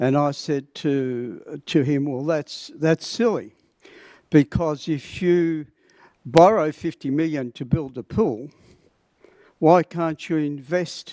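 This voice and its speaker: In a very clean recording with a silent background and a dry, close sound with no echo, a man with an Australian accent talks very slowly in a fairly high pitch, his dark, mellow tone showing ordinary pitch variation. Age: 70s. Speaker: public speaker at council meeting. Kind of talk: public statement. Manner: halting.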